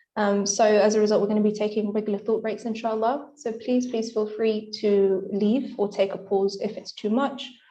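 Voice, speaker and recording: Monotone, flat intonation from a woman with a fairly high pitch, a dark, mellow tone and audible room echo. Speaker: medical student speaker. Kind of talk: lecture. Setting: video call. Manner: fast.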